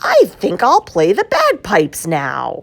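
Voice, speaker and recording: Using a put-on character voice, a woman speaks at a fairly slow pace. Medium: read story.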